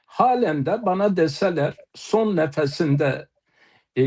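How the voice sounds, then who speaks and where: Against a quiet background, a man with an Eastern Anatolian accent speaks at a very slow pace. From eastern Turkey, Palu (Elazığ). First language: Zazaki (speaking Turkish). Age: 60s. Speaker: poet and author. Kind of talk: panel talk on live TV. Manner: halting, many filler sounds.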